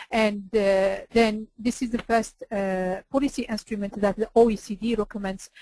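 A woman's somewhat breathy, fairly high voice, monotone and flat, at a fairly slow pace, dry with no echo over a quiet background. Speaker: energy policy expert. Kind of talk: webinar presentation. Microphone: video call.

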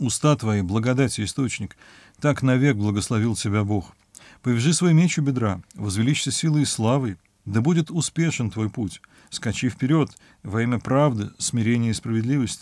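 Over a quiet background, a man talks at a moderate pace with ordinary pitch variation in a dry recording with no echo. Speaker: professor, Bible commentator. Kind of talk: scripture reading with commentary. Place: home room.

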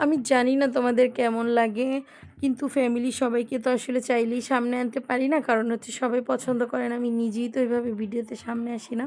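Soft-spoken, a woman talks at a high pitch in a monotone, flat intonation. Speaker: lifestyle vlogger. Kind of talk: vlog narration.

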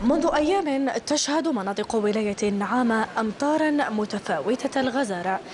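A woman speaks with a high pitch and lively intonation at a fairly slow pace, with hardly any pauses. Noticeable background noise is present. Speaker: news reporter. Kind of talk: news report narration.

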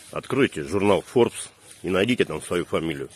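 A very deep, low-pitched man at a fairly quick pace, in a dry sound with no echo. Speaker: comic short-video creator. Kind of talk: deadpan joke monologue to camera. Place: street. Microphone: phone near.

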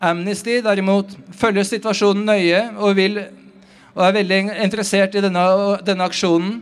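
A man's high-pitched voice at a fairly quick pace, with very even loudness and fairly even intonation. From Norway. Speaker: rally organiser and speaker. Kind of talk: rally speech. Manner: formal, prepared. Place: street. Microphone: podium.

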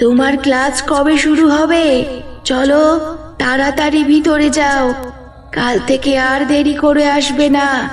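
A female-sounding cartoonish character voice, high-pitched and monotone with flat intonation, moves at a very slow pace amid clear background noise and clear echo.

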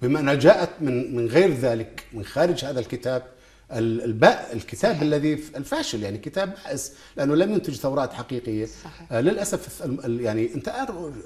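At a moderate pace, a man with a fairly high pitch speaks using lively intonation. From Jordan. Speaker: poet and writer; poet. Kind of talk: TV interview; interview answer. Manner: halting, many fillers and repetitions. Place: studio. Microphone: lapel.

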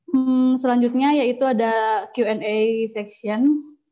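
This woman has a normal speaking voice, fairly high in pitch with fairly even intonation. The background is quiet. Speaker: student moderator. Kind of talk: webinar moderation.

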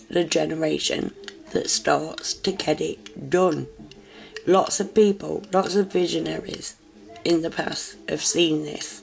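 A woman talks very slowly over music in the background. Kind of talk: casual talk to camera.

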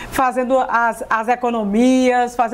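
A woman speaks at a fairly slow pace. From Piauí, Brazil. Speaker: TV presenter. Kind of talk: TV interview. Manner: animated. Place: studio. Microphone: lapel.

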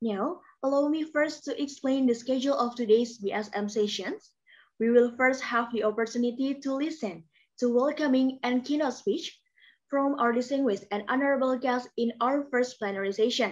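Against a quiet background, a woman speaks at a moderate pace with a high pitch. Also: ordinary pitch variation. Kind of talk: formal event hosting announcement. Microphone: webcam.

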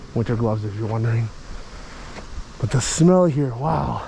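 A man's lively intonation, dry and echo-free, over light background noise. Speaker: travel vlogger. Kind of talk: casual vlog chat. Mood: playful, joking. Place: street. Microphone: phone near.

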